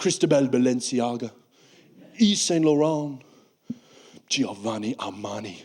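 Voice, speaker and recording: A man with a British accent speaks at a fairly high pitch with lively intonation. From United Kingdom. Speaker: stand-up comedian. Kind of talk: stand-up comedy performance.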